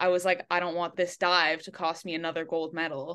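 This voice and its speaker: A bright, sharp tone at a fairly quick pace against a quiet background. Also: woman. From Quebec, English-speaking west Montreal. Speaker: college athlete, diver. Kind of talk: casual interview.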